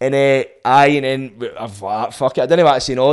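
Speaking fairly quickly, a man talks with a Scottish accent. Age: 30s. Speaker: podcast host. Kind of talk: casual chat.

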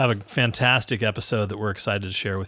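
Against a silent background in a very clean recording, a man speaks. His pitch is fairly low and his intonation fairly even. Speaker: podcast host. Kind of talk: casual interview. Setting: coffee shop.

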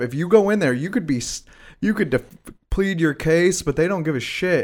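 A man's plain, everyday voice, fairly high in pitch, at a fairly quick pace with ordinary pitch variation, in a very clean recording with a silent background. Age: 20s. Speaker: podcast host. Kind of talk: casual chat.

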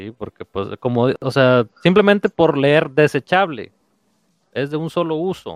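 Recorded with a dry, close sound and no echo, a man speaks in an unremarkable speaking voice at a fairly high pitch. His pace is fairly slow, with lively intonation and big swings in loudness. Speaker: podcast host. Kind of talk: casual chat. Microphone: connection problems, audio may cut out.

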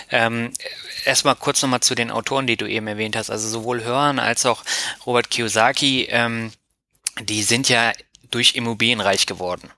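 A man at medium pitch talks at a moderate pace. His intonation is monotone and flat, broken by long, frequent pauses. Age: 30s. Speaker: finance blogger and podcaster. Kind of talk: interview.

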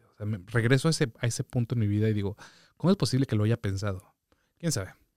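The sound is dry and close with no echo, on a very clean recording with a silent background. A man at medium pitch talks very fast, with ordinary pitch variation. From Mexico City. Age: 30s. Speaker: DJ and music producer. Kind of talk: casual chat.

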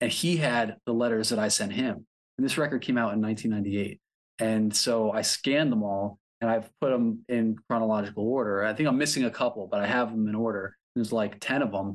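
A man's plain, everyday voice in an American accent, medium in pitch, at a fairly quick pace with fairly even intonation and very even loudness, over a quiet background. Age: 40s. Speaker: record label owner. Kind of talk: casual interview. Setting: video call.

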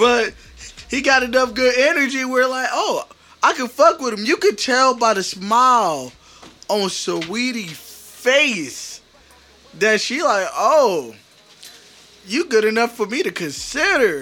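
A man speaks in a raised, projected voice at an extremely high pitch, with very wide pitch swings. His pace is very slow, with long, frequent pauses, and there is noticeable background noise. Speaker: podcast host. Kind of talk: casual chat.

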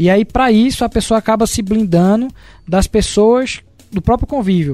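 Speaking in a dark, mellow tone, a man has a high pitch. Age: 30s. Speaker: business consultant, co-host. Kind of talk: casual chat.

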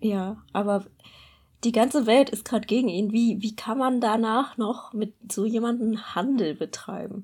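Against a very clean recording with a silent background, a woman speaks fairly slowly in a fairly high, somewhat breathy voice with fairly even intonation. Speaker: podcast co-host. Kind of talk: casual chat. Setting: studio.

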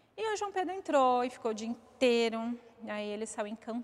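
An ordinary speaking voice from a woman, pitched fairly high and delivered at a moderate pace. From Osasco, São Paulo, Brazil. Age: 40s. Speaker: mother of a ballet student. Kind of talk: interview, personal story.

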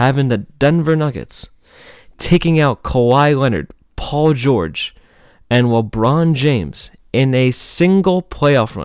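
On a very clean recording with a silent background, a man with an American accent speaks at a very slow pace with lively intonation. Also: medium pitch for a man. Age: young. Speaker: student podcaster. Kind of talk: casual solo commentary. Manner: many filler words, casual.

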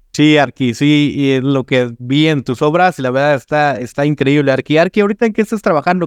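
Speaking very fast with hardly any pauses, a man with a Mexican accent talks at a fairly high pitch with ordinary pitch variation, in a dry, close sound with no echo over a quiet background. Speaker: podcast host, architect. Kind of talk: interview. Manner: casual, animated.

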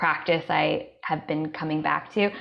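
A woman with a fairly low pitch and vocal fry speaks at a fairly slow pace with ordinary pitch variation. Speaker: holistic health coach and event host. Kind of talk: panel discussion in a live online event.

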